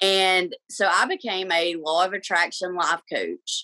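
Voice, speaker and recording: A woman's bright, sharp tone at a medium pitch, with an Alabama accent, in a dry, close sound with no echo. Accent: Southern US (Alabama). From Alabama, US South. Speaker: reiki practitioner and life coach. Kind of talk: podcast interview.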